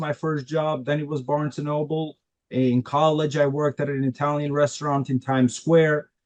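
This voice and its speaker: The speaker has a non-native accent. The intonation is monotone and flat. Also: man. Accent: foreign. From Albania, raised in Queens, New York from age 11. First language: Albanian. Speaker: immigrant attorney. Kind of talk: interview. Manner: halting, many fillers.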